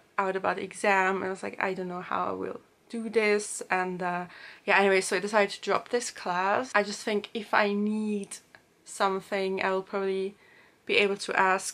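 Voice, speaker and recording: A woman at a moderate pace, in a monotone, flat intonation. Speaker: student vlogger. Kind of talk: casual vlog chat. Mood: reflective, slightly stressed recollection. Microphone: camera far.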